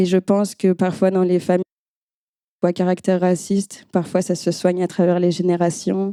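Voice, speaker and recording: This woman's medium-pitched voice has a dark, mellow tone and very even loudness. Her intonation is monotone and flat. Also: moderate pace, dry, close sound with no echo. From France, Nantes (Brittany). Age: 20s. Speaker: event host and former therapist. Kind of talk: panel discussion.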